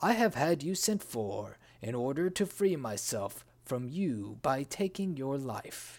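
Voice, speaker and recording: A man's medium-pitched voice with very wide pitch swings, fairly slow and with hardly any pauses. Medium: read story. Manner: suspicious, commanding.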